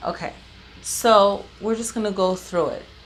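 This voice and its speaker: At a very slow pace, a woman speaks with fairly even intonation over noticeable background noise. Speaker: tarot reader. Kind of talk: tarot reading. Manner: casual, chatty.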